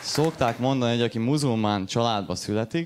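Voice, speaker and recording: A man's normal speaking voice at medium pitch, with lively intonation and a fairly quick pace. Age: 20s. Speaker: stand-up comedian. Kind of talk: stand-up. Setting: stage with audience.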